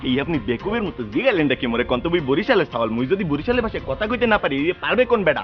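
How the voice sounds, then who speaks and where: A man's high-pitched voice with very wide pitch swings, set over music in the background. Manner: boastful, indignant.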